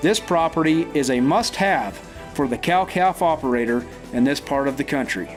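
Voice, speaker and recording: Music plays behind the voice. The man speaking has lively intonation. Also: fairly high pitch for a man, moderate pace. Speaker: real estate agent. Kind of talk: property auction promo read.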